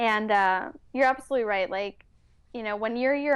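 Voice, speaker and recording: A woman with a Californian accent talks at a fairly high pitch over a quiet background. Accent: near-native Californian English. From Mexico City, raised in San Francisco Bay Area from age 8. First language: Spanish. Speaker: entrepreneur and wellness coach. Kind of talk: interview.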